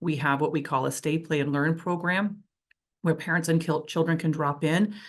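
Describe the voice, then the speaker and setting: Over a quiet background, a woman with a very deep, low pitch talks at a fairly quick pace. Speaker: nonprofit executive director. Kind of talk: conference presentation. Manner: fast.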